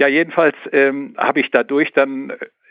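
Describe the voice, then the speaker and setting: Speaking fairly slowly, a man uses a plain, everyday voice at a medium pitch. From Sauerland, western Germany. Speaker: aviation history collector. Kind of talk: interview. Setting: phone call.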